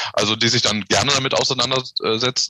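A man talks at a moderate pace with a bright, sharp tone. The sound is dry and close, with no echo. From Lower Rhine region, western Germany. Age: 40s. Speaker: civil engineer. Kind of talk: interview.

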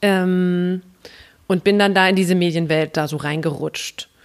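A woman with medium pitch, fairly even intonation and an unremarkable speaking voice. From Mainz area, Rhineland-Palatinate. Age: 30s. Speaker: café owner. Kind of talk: interview.

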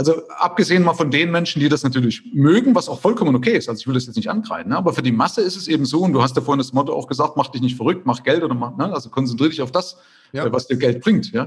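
Speaking at a very fast pace with hardly any pauses, a man uses lively intonation and a fairly high pitch. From former East Germany. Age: 50s. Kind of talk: interview.

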